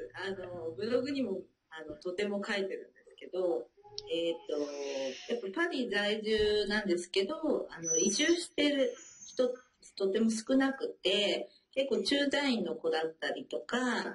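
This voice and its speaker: Speaking at a fairly slow pace, a woman with a medium-pitched voice uses very wide pitch swings and big swings in loudness. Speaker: French learner, mother living abroad. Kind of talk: interview. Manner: many filler words.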